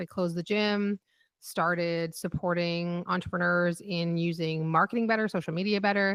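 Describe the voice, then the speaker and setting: A woman speaks in a Canadian accent with a plain, everyday voice. Her pitch is fairly low and her pace moderate. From Canada. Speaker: business mentor. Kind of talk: podcast interview.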